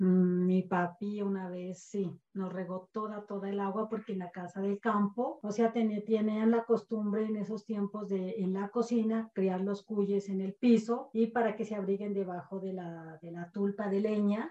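With a plain, everyday voice, a woman at medium pitch speaks at a fairly slow pace with fairly even intonation and hardly any pauses. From Colombia, rural village of San Lorenzo. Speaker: podcast guest, mother of a co-host. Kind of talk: casual storytelling interview.

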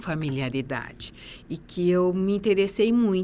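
On a very clean recording with a silent background, a woman speaks at a fairly slow pace in a medium pitch. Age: 50s. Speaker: nurse and master's graduate. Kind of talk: interview. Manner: halting, many fillers.

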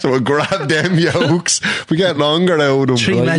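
Moderate pace and a fairly high pitch from a man with an Irish accent, ordinary pitch variation, very even loudness, and noticeable background noise. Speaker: podcast host.

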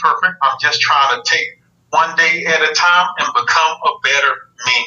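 At a moderate pace, a man talks with a strong Southern US accent. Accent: strong Southern country. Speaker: army veteran, test engineer. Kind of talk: casual interview chat.

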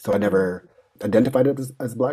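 A man talks with ordinary pitch variation. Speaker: social worker. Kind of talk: casual chat. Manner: soft-spoken.

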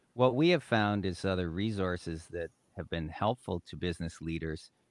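A man with a Canadian accent and a very deep, low pitch at a moderate pace, with ordinary pitch variation. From Canada, Great Lakes region. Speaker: executive coach and therapist. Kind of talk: interview conversation.

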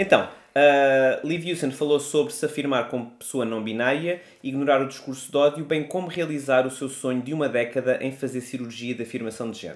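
Using a plain, everyday voice, a man talks at a fairly high pitch and a fairly quick pace, with ordinary pitch variation and hardly any pauses. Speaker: podcast co-host. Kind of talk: casual chat.

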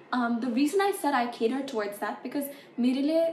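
A woman with an American accent, high-pitched and fairly quick, with lively intonation over noticeable background noise. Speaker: musician and content creator. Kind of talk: casual interview chat.

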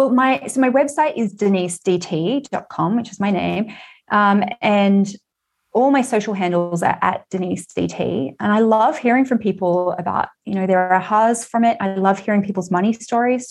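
Over a quiet background, a woman with an Australian accent speaks at a moderate pace with a medium pitch and ordinary pitch variation. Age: 40s. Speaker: author and money coach. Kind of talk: casual interview. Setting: remote call.

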